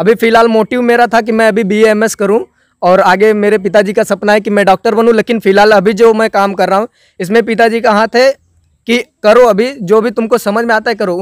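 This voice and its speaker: A man speaks in a high, monotone voice with flat intonation. The sound is dry with no echo, over a quiet background. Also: moderate pace. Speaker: comedy video actor. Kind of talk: interview answer. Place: farm. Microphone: handheld.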